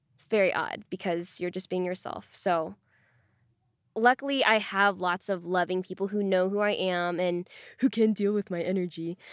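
This is a woman with a normal speaking voice at medium pitch, talking at a moderate pace. The recording is very clean, with a dry, close sound, no echo and a silent background. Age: 20s. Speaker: podcast host interviewed about workplace sexism. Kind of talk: interview.

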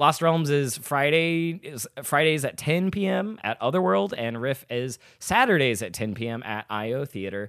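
With hardly any pauses, a man talks at a moderate pace and a fairly high pitch with very wide pitch swings. The sound is dry and close with no echo. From Arkansas, Little Rock. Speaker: comedian and improv performer. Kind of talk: casual chat.

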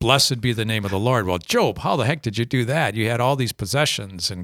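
In an Upper Midwest accent, a man speaks at a fairly low pitch with ordinary pitch variation, on a very clean recording with a silent background. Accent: Upper Midwest American. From Minnesota, rural area near Faribault. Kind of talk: casual interview about faith. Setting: studio.

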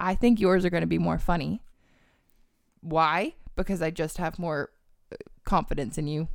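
In a very clean recording with a silent background, a woman with a fairly low pitch and vocal fry talks at a moderate pace, leaving long, frequent pauses. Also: ordinary pitch variation. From northern England. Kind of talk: casual chat. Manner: chatty and joking.

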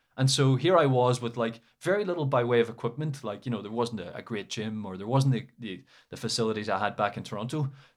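A man with an Irish accent at a very fast pace, hardly any pauses, ordinary pitch variation and big swings in loudness. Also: medium pitch for a man. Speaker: academic and former footballer. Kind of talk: casual interview.

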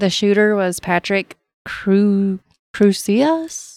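A woman talks in a plain, everyday voice. Her pitch shows ordinary variation. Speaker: podcast co-host. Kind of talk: casual chat.

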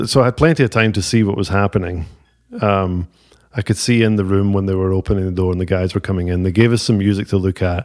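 This man talks at a very fast pace. His pitch is fairly low, with ordinary pitch variation. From Scotland, Ayrshire (Ayr). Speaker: drummer. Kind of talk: casual interview chat. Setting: at a kitchen table.

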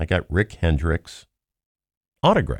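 A man with a Southern US accent speaks at a fairly slow pace with vocal fry, in a very clean recording with a silent background and a dry, close sound with no echo. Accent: Southern-sounding, like Tennessee. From Cincinnati, Ohio. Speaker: co-host, automobile industry commentator. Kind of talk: casual chat.

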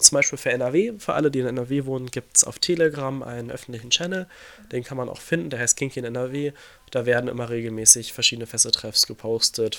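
A man speaks at a fairly quick pace in a medium pitch with ordinary pitch variation. His tone is bright and sharp, and his loudness swings widely. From western Germany (North Rhine-Westphalia). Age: 20s. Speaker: shibari practitioner. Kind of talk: interview answers, casual. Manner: hesitant, many fillers.

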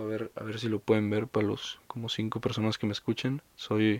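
A man with a Mexican accent and a fairly low pitch talks at a very fast pace. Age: 20s. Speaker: podcaster. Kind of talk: casual monologue. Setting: under a staircase at home. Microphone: new recording setup.

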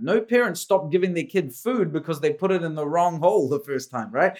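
A high-pitched man with a New Zealand accent at a moderate pace, pitch swinging very widely, on a very clean recording with a silent background. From India, raised in New Zealand. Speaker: business and leadership coach. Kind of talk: casual interview chat.

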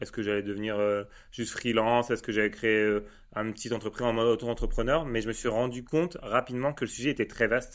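This man talks at a very fast pace with a medium pitch and fairly even intonation. The recording is very clean, with a silent background. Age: 30s. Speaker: data agency founder. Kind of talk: casual interview chat.

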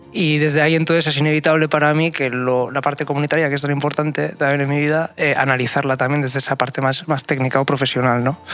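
A very fast, nearly pause-free delivery in a flat monotone, very even in loudness, over noticeable background noise. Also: man, fairly high pitch for a man. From Basque Country, San Sebastián. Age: young. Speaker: community project facilitator. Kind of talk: radio panel discussion. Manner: halting.

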